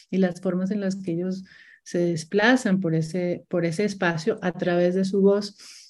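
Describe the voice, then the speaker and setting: A woman's medium-pitched voice, dark and mellow in tone, at a moderate pace. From Colombia, Bucaramanga. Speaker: multimedia artist and university teacher. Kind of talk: interview.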